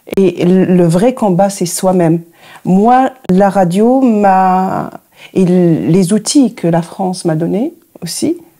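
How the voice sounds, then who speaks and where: Speaking very slowly with an Arabic accent, a woman has a dark, mellow tone at a medium pitch with ordinary pitch variation. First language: Arabic (speaking French). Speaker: radio journalist and producer. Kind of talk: interview. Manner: halting.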